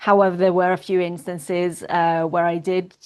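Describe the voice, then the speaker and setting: The speaker talks at a moderate pace in an Italian accent, with monotone, flat intonation. The background is quiet. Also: woman. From northern Italy, near Milan. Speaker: para-swimmer and activist. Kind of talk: interview.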